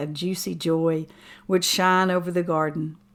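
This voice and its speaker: Someone speaks with an Appalachian accent at a moderate pace, with ordinary pitch variation, on a very clean recording with a silent background. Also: woman. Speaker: writer and musician. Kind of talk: poetry reading.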